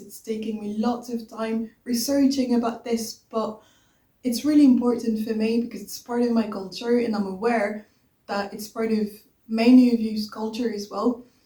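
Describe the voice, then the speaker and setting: A woman with a French accent, fairly high pitch and a dark, mellow tone, with monotone, flat intonation and big swings in loudness. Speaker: YouTuber, music history presenter. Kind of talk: casual vlog intro.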